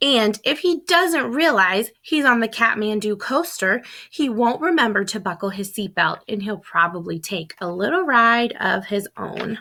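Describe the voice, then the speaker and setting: A woman puts on a raspy character voice at a fairly high pitch and a moderate pace. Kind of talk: read-aloud storytelling. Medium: read story. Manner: lively, expressive.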